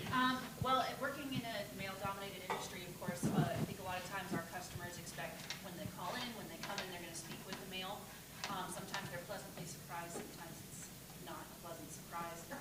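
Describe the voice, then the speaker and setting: A woman speaking at a very fast pace, medium pitch and ordinary pitch variation, with audible room echo and noticeable background noise. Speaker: audience member. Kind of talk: audience question. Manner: loud.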